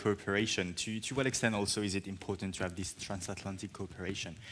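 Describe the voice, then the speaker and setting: The voice has a bright, sharp tone and moves at a very fast pace. The recording is very clean, with a silent background. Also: man. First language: French. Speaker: journalist moderator. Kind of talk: panel moderation.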